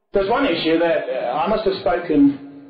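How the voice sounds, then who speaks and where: A man with an English accent speaks with lively intonation over noticeable background noise. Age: 40s. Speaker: political speaker. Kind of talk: lecture. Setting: stage with audience.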